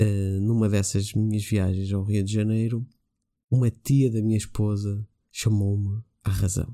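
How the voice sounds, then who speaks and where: Captured on a very clean recording with a silent background, a man speaks at a fairly low pitch with a dark, mellow tone and monotone, flat intonation. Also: fairly slow pace. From Portugal. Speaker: podcaster sharing a story. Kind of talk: voice message storytelling.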